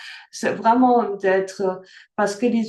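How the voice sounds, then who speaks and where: Speaking at a fairly slow pace, a woman talks with a slight non-native accent. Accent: slight foreign accent in French. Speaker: workshop facilitator. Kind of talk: online workshop talk. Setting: video call. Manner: hesitant, many fillers.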